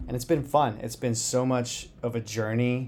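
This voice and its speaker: A man's dark, mellow voice holds a monotone, flat intonation. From US Southwest, Phoenix Arizona. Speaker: high school cross country coach. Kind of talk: casual interview.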